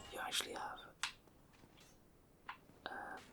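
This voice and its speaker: Someone whispers at a moderate pace in a relaxed tone. Noticeable background noise is present. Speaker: gamer / ASMR content creator. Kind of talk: casual gameplay commentary. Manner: whispered, relaxed.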